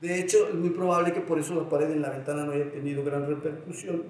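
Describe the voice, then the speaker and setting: Very fast, monotone, flat speech from a man with a fairly high pitch, with audible room echo and noticeable background noise. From Mexico, Guanajuato (León area). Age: 60s. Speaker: poet and writing teacher. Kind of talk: interview. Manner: halting, many repeated words.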